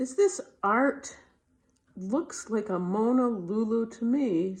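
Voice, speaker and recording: A woman puts on a gruff character voice at a fairly high pitch. She delivers it at a fairly slow pace. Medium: read story. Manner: gruff, barking.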